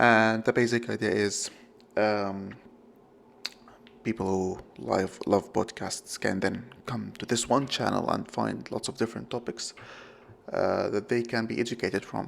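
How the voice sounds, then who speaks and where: A man with a non-native accent, at a fairly slow pace, with long, frequent pauses. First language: not English. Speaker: podcast host. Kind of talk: solo podcast monologue. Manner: halting, many fillers and self-corrections.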